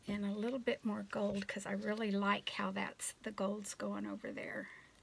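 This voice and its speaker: Amid light background noise, a soft-spoken woman talks at a moderate pace. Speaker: acrylic pour artist. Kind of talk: tutorial. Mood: pleased, relaxed. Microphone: phone near.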